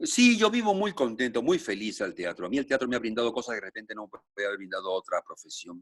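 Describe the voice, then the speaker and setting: A man talks at a very fast pace with hardly any pauses and big swings in loudness. The sound is dry and close, with no echo. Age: 70s. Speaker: actor. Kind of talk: interview.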